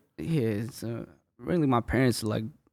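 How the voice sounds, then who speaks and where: Fairly quick speech from a man, medium in pitch, with ordinary pitch variation. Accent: Spanish. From north side of Atlanta, Gwinnett County. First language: Spanish. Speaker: rapper. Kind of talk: casual interview.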